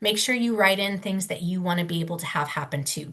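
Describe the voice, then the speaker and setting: A woman speaks at a fairly quick pace in an unremarkable speaking voice, her fairly low pitch held to a fairly even intonation. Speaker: legal clinic presenter on commercial leases. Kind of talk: webinar presentation. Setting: webinar. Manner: casual, many fillers.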